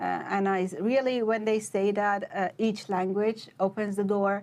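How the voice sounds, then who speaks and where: A woman speaks at a fairly slow pace with medium pitch. Her intonation stays fairly even. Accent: Persian. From Iran, Shiraz. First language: Persian. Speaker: PhD researcher. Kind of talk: interview. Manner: hesitant, many fillers.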